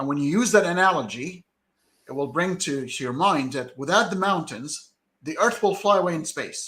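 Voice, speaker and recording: This man has an Arabic accent and a high pitch, with a bright, sharp tone. He talks at a moderate pace with lively intonation. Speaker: debater critical of Quran science claims. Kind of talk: heated debate. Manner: halting, many repetitions and fillers.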